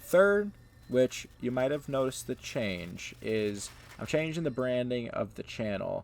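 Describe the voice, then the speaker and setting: Speaking with an American accent, a man at a medium pitch goes at a fairly slow pace with ordinary pitch variation. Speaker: gaming YouTuber. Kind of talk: gameplay commentary, casual. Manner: casual, hesitant with fillers.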